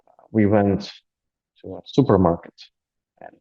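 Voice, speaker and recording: The man's tone is dark and mellow. He keeps to a moderate pace. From Latvia, Riga. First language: Russian. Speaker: aid volunteer. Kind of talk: interview. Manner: hesitant with many fillers.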